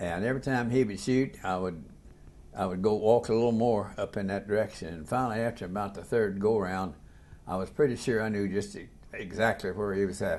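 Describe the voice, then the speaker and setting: A man speaks with a southern Indiana accent. His pace is fairly quick and his pitch variation is ordinary. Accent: southern Indiana rural American. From US Midwest, southern Indiana. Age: 80s+. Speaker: war veteran. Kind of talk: oral history interview. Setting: hotel room interview. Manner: halting, with repetitions.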